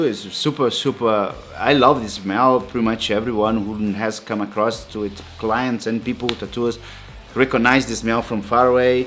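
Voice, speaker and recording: Over music in the background, a man with a non-native accent speaks at a moderate pace and a medium pitch. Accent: foreign. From outside Europe. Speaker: tattoo artist. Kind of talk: tutorial. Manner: halting, many fillers.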